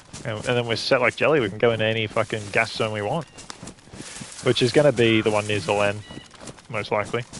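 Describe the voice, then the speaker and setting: Talking at a very fast pace yet with long, frequent pauses, a man speaks at medium pitch with fairly even intonation over noticeable background noise. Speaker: gaming streamer. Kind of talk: live gameplay commentary.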